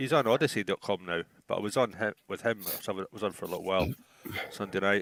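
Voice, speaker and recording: A man with an Edinburgh accent speaks at a very fast pace in a fairly low pitch. His pitch varies in an ordinary way, and the sound is dry and close with no echo. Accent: Scottish (Edinburgh). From Scotland, Edinburgh. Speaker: livestream chat participant. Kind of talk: casual chat.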